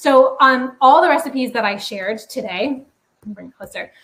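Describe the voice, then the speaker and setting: This woman has a high pitch and ordinary pitch variation. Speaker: cooking class instructor. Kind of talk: live online cooking class. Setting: livestream with chat. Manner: fast; animated.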